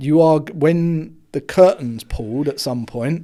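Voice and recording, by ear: Speaking slowly, a man has a fairly high pitch and a dark, mellow tone. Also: ordinary pitch variation.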